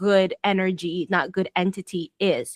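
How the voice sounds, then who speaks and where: A woman speaks with an American accent at a medium pitch. Her pace is fairly slow, and the sound is dry and close with no echo. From Florida, US. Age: 30s. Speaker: podcast host. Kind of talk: casual conversation. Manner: hesitant, many fillers.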